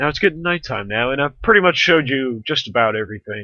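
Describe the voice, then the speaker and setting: A man's bright, sharp voice with lively intonation at a moderate pace, dry and close with no echo. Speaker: gaming video creator. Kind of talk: gameplay commentary. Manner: slurring words; casual, halting.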